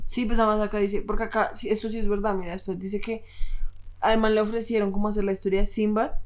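A woman talks at a very fast pace with a fairly high pitch. Her intonation is monotone and flat. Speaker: podcast co-host. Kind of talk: casual chat.

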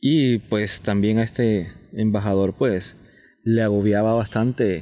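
In a very clean recording with a silent background, a man speaks at a fairly slow pace and fairly low pitch, his dark, mellow tone carrying fairly even intonation. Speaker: podcast host. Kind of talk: casual history discussion.

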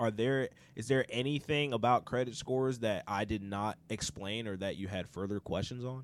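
On a very clean recording with a silent background, a man with a normal speaking voice talks at a fairly quick pace and medium pitch. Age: 30s. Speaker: podcast host. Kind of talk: casual chat.

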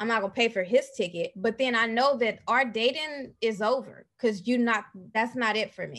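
Speaking at a moderate pace, a woman uses a plain, everyday voice that is fairly high in pitch, with ordinary pitch variation. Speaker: podcaster. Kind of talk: casual chat.

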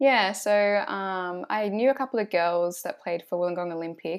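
A woman is speaking. She has an Australian accent. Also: very clean recording, silent background. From Shoalhaven, New South Wales, Australia. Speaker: footballer. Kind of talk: casual interview.

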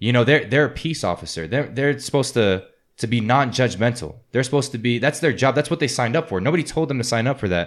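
In a very clean recording with a silent background, a man with an American accent and a medium pitch talks at a very fast pace with hardly any pauses. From New Orleans, US South. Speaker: amateur MMA fighter. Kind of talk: casual chat.

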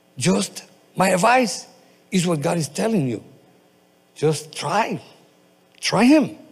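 With a non-native accent, a man speaks in a high pitch at a very slow pace, with very wide pitch swings. Long, frequent pauses break up his speech. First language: not English. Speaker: pastor. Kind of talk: sermon. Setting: church. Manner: halting.

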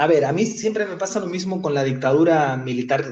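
A man's somewhat breathy, fairly high voice with ordinary pitch variation. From Spain. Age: 30s. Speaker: human rights lawyer. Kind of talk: interview.

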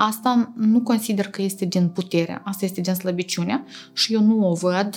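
This woman talks at a moderate pace and a medium pitch. It is an unremarkable speaking voice. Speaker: oral and facial aesthetic surgeon. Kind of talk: interview.

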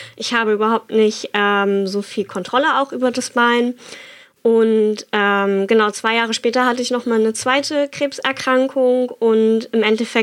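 A woman talks in an ordinary speaking voice, pitched fairly high. Her pace is moderate and her intonation fairly even. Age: 20s. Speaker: bone cancer survivor and rider. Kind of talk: personal testimony.

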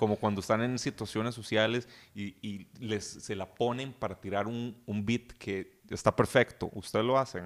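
A man with a Costa Rican accent talks with hardly any pauses. His pitch is fairly low and his intonation fairly even. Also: moderate pace. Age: young. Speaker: podcast guest. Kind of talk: casual chat.

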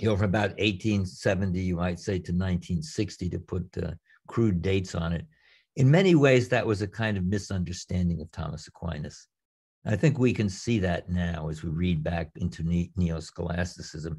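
A very deep, low-pitched man with an American accent, somewhat breathy, with ordinary pitch variation, on a very clean recording with a silent background. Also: moderate pace. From New York area, US. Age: 80s+. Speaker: theologian and retired professor. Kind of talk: interview. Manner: halting.

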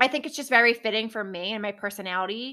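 A woman's bright, sharp voice at medium pitch, with an American accent, on a very clean recording with a silent background. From New Jersey. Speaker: podcast host, real estate agent. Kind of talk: solo podcast monologue.

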